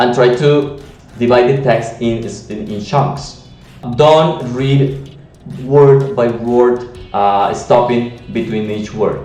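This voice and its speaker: There is audible room echo and noticeable background noise as a man talks at a very slow pace. His medium-pitched voice, with a Latin American accent, shows ordinary pitch variation. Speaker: language teacher. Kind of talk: tutorial. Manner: halting, many fillers.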